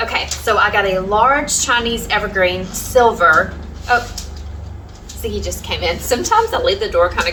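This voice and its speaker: A woman with a Southern US accent talks at a moderate pace, with audible room echo and noticeable background noise. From US South. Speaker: home cleaning vlogger. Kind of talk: casual vlog chat.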